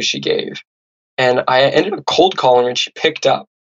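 This man speaks with a Californian accent. His pace is fairly quick. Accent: General American (Californian). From US West Coast (Santa Barbara, California). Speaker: podcast host, author, former pro squash player. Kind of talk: interview conversation.

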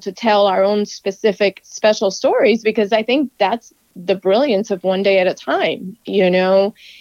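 Dry and close with no echo, a woman's ordinary speaking voice sits at a fairly high pitch. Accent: American. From US, Cuban American. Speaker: TV reporter. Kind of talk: interview. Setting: phone call.

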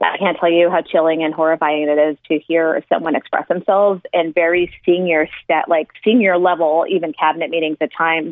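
A woman talks with a fairly low pitch. Hers is an unremarkable speaking voice. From El Paso, Texas, border. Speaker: former political official. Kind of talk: interview conversation.

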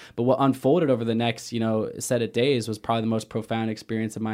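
On a very clean recording with a silent background, a man with an American accent talks at a fairly quick pace in a monotone, flat intonation. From Portland, Oregon. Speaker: adventurer and endurance athlete. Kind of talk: interview.

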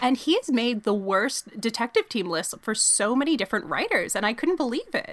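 Over noticeable background noise, a woman talks at a fairly quick pace with hardly any pauses, a high pitch and lively intonation, the sound dry and close with no echo. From Canada, Toronto. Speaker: sports journalist and podcaster. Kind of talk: casual chat.

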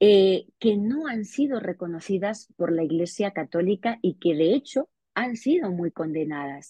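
A woman talks at a fairly slow pace in a normal speaking voice of medium pitch. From Spain, Extremadura. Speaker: investigative journalist and author. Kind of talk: interview.

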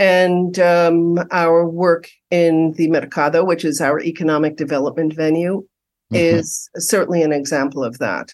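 A woman with an American accent has an unremarkable speaking voice, fairly low in pitch with fairly even intonation. She keeps a moderate pace with hardly any pauses against a quiet background. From New York City, Upper West Side. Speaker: community housing nonprofit director. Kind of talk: interview.

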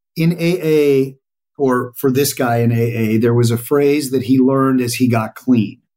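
A man talks at a medium pitch with a dark, mellow tone and a General American accent. His loudness stays very even. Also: fairly slow pace. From Colorado. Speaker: journalist and author. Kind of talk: interview. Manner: talkative, animated.

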